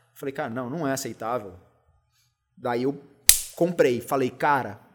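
The speaker is a man whose voice is fairly high in pitch. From São José dos Campos, São Paulo state, Brazil. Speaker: beer content creator and lawyer. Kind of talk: casual interview chat.

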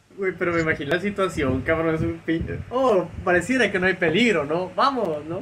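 A man with a Mexican accent talks at a moderate pace in a high pitch, with ordinary pitch variation. He barely pauses, and there is noticeable background noise. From Mexico. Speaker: podcast co-host. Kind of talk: casual chat.

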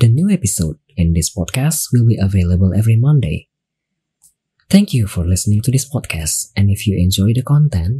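Somewhat breathy and fairly low, a man's dark, mellow voice carries lively intonation and an Indonesian accent. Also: very clean recording, silent background. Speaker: online radio host and streamer. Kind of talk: casual bilingual talk show chat. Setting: live stream on Twitch.

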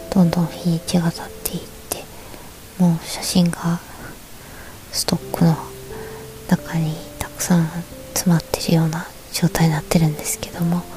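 Over noticeable background noise, a woman speaks at a moderate pace in a fairly low, flat, monotone voice. Her loudness swings widely, and she leaves long, frequent pauses. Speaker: podcaster. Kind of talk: bedtime talk radio. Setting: in bed under a futon. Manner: soft-spoken.

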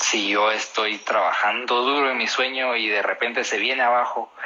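There is noticeable background noise as a man talks at a medium pitch. His pitch varies in an ordinary way. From Guatemala. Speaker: barista and coffee taster. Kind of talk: interview.

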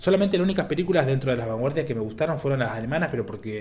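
A man with a medium pitch sounds somewhat breathy, his intonation lively. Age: 20s. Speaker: film director. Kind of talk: casual chat.

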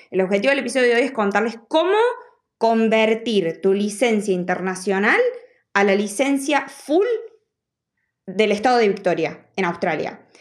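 With an Argentine accent, a woman of fairly high pitch talks at a moderate pace, leaving long, frequent pauses. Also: ordinary pitch variation. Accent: Argentine Spanish (Rioplatense). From Argentina. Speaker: podcast host. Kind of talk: tutorial; casual interview chat. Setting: in person, audio only.

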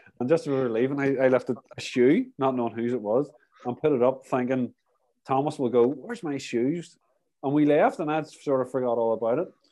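Fairly quick, fairly even in intonation, a male voice of dark, mellow tone. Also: medium pitch for a man. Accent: Irish. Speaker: podcast host, cyclist. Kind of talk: casual chat.

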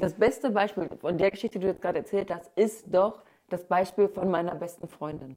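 The voice has a dark, mellow tone with ordinary pitch variation. It moves at a fairly quick pace. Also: woman, medium pitch for a woman. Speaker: podcast host. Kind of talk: casual chat.

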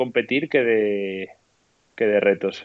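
A man speaks at a very slow pace. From Spain, León. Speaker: professional trail runner. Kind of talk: casual chat.

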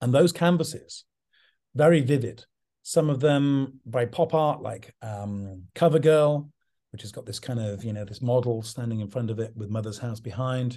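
This man has a dark, mellow tone and a southern English accent, with ordinary pitch variation. His loudness swings widely against a quiet background. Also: medium pitch for a man, moderate pace. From English countryside. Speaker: artist's son and representative. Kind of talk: interview.

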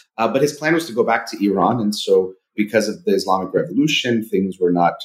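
A man with a Californian accent, at a fairly quick pace. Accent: general American, Californian. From US, Southern California. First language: Persian (Farsi). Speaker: clinical psychologist. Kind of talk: casual interview.

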